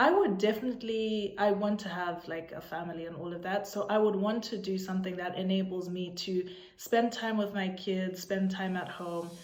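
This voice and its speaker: A woman with a Zimbabwean accent and a medium pitch speaks with fairly even intonation and hardly any pauses, amid noticeable background noise and audible room echo. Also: moderate pace. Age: 20s. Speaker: vlogger. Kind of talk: casual chat.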